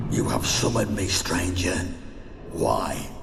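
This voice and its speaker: Over loud background noise and clear echo, a man performs a put-on character voice at a fairly slow pace. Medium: game stream. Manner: cold, haughty, menacing.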